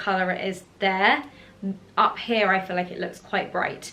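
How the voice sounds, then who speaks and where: A woman talks in a southern English accent. There is noticeable background noise. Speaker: fashion YouTuber. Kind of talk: casual haul video.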